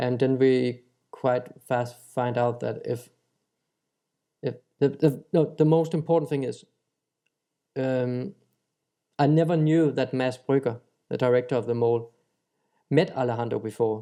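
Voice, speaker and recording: With a Danish accent, a man speaks in a dark, mellow tone at a medium pitch, keeping fairly even intonation and a fairly slow pace broken by long, frequent pauses. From Denmark. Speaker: chef. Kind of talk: interview answer.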